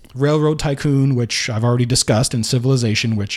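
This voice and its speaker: A man's normal speaking voice at medium pitch, with ordinary pitch variation. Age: 30s. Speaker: retro gaming podcast host. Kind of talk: casual monologue. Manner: frequent fillers and repetitions.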